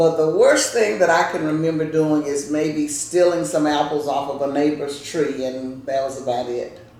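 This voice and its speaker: With a Louisiana accent, a woman talks in a very deep, low voice and a warm tone, her intonation fairly even and hardly any pauses breaking her speech over noticeable background noise. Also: moderate pace. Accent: Southern US (Louisiana). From US South. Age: 70s. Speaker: grandmother telling family history. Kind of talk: casual interview with grandchildren. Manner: conversational, warm storytelling.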